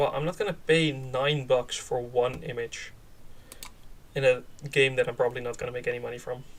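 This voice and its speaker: With long, frequent pauses, a man speaks at a fairly quick pace in a medium pitch, his intonation fairly even. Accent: Dutch. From Netherlands. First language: Dutch. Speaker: game developer streamer. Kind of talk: live stream commentary. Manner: halting, many fillers; casual.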